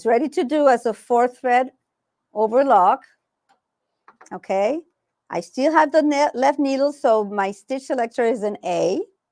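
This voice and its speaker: A woman speaks with a high pitch and lively intonation. Her fairly slow delivery has long, frequent pauses. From Puerto Rico. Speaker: sewing instructor. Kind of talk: live tutorial. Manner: casual, hesitant with fillers.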